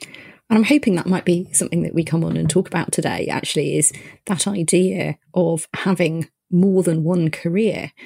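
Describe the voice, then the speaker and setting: With a dark, mellow tone and vocal fry, a woman of fairly low pitch speaks at a moderate pace with ordinary pitch variation. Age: 40s. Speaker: podcast host and GP. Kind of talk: interview chat.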